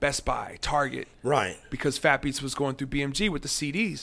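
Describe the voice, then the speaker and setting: Ordinary pitch variation runs through the man's speech. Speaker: guest. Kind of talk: interview answer. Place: studio. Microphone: studio mic.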